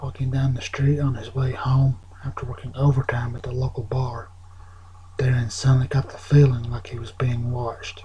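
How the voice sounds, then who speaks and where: A soft-spoken man at medium pitch and moderate pace, with noticeable background noise. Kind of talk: ASMR soft-spoken story reading. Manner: soft-spoken, with some stumbling over words.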